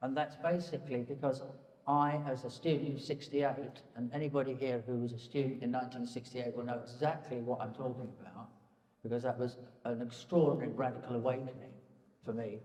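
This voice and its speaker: Fairly even in intonation, a man speaks at a medium pitch and a fairly quick pace. Audible room echo and noticeable background noise surround him. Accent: English. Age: 70s. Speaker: painter. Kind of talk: public conversation. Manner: halting.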